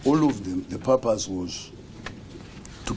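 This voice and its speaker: A man speaks at a fairly slow pace with ordinary pitch variation. There is noticeable background noise. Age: 70s. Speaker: retired public servant. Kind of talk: interview.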